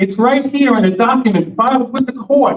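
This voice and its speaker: A loud man with lively intonation. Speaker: attorney. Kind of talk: speech at community meeting. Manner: loud, projecting; animated.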